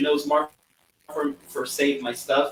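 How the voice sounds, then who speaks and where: With a Portuguese accent, a man talks in a bright, sharp tone. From Brazil. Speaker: pianist, composer and piano teacher. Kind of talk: interview. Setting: live video call. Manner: halting, with many repetitions.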